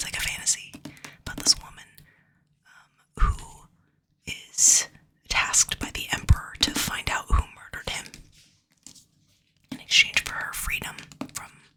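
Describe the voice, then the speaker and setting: Whispering at a moderate pace, a woman pauses long and often while her loudness swings widely. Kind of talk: ASMR book haul, casual talk to camera. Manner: casual, chatty.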